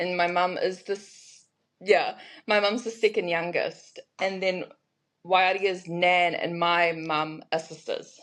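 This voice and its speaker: Against a quiet background, a woman with a New Zealand accent speaks at a very slow pace. Her medium-pitched voice stays monotone and flat. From New Zealand, Hamilton and Raglan. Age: 20s. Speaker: brand creator. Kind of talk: casual interview chat.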